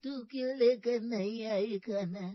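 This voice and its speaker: A woman does a cartoonish character voice at a fairly high pitch. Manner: blunt, familiar.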